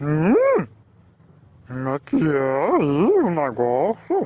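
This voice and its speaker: A put-on character voice at a middle pitch. The delivery is very slow. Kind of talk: comedic pet video voiceover. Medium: dub.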